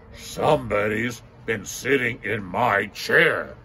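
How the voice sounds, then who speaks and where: A man's put-on character voice, raspy and medium in pitch, at a fairly slow pace with ordinary pitch variation. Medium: read story.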